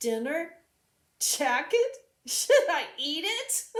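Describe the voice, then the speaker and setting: A woman in a put-on character voice speaks loudly at a very slow pace, her extremely high pitch swinging very widely. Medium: read story. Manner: loud, enthusiastic.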